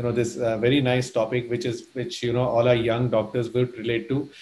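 At a fairly quick pace, a man speaks in a monotone, flat intonation. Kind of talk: welcome remarks. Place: home room.

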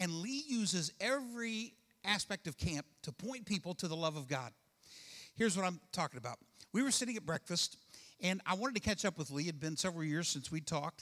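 A man is speaking. His pace is fairly quick against a quiet background. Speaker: pastor. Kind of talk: sermon. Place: church. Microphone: handheld.

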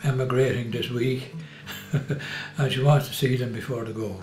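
A man with an Irish accent at medium pitch and a moderate pace, fairly even intonation, audible room echo and music in the background. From Ireland, County Meath. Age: 80s+. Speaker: family carer for his wife. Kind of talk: interview answer. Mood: warm, reflective.

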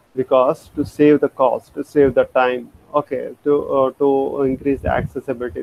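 A man talks at a moderate tempo over light background noise. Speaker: lecturer. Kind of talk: lecture. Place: home room. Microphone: webcam.

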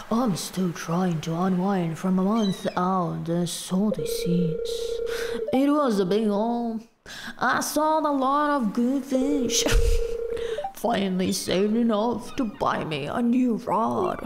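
A female-sounding, put-on character voice at medium pitch moves at a fairly slow pace over clear background noise.

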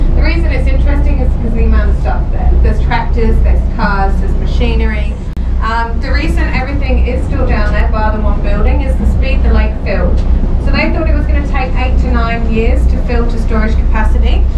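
A woman talks at a fairly quick pace. Loud background noise runs underneath. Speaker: tour guide. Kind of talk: guided tour commentary. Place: boat. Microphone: camera far.

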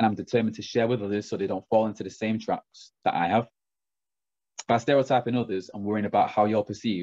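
In a Mancunian accent, a man speaks very fast and confidently with a dark, mellow tone and fairly low pitch, the sound dry with no echo and the background quiet. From Manchester. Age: 20s. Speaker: branch manager. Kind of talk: personal story talk. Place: home room. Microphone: webcam.

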